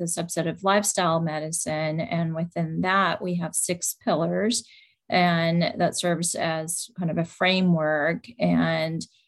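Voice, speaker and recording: In a normal speaking voice, a woman talks at a fairly slow pace with a fairly low pitch and fairly even intonation. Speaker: rheumatologist doctor. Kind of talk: educational talk. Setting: live event with audience.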